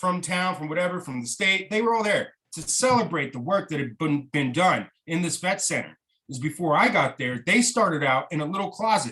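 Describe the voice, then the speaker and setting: A man with an American accent speaks at a fairly quick pace in a high pitch, barely pausing. His tone is bright and sharp, with lively intonation and big swings in loudness. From Tucson, Arizona. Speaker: army veteran and cannabis reform activist. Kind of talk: podcast interview answer. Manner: heated, profane.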